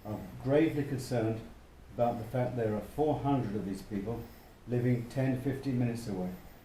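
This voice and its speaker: Fairly quick speech from a medium-pitched man, fairly even intonation, audible room echo and noticeable background noise. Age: 70s. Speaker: retired local resident. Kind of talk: casual interview.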